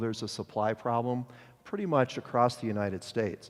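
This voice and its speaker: Ordinary pitch variation marks a man's medium-pitched voice, with an American accent at a fairly quick pace. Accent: upper Midwest accent, slips out at times. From Detroit, US Midwest. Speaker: mortgage industry executive. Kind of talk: conference presentation. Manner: casual, self-correcting.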